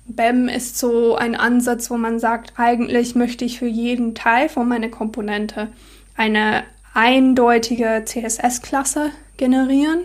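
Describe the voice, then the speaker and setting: In a non-native accent, a woman talks at a very slow pace and high pitch with monotone, flat intonation amid noticeable background noise. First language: not German (speaking German). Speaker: software developer. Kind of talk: casual chat. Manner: halting.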